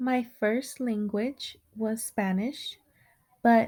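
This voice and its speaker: The voice is somewhat breathy, with a dark, mellow tone. It moves at a very slow pace with fairly even intonation. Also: woman. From Houston, Texas. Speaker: student teacher. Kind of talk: scripted narration.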